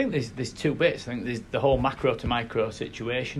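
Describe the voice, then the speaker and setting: A somewhat breathy voice speaks at a very fast pace with fairly even intonation. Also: man. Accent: Yorkshire. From South Yorkshire. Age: 30s. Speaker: football club chief executive. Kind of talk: interview. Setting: football stadium.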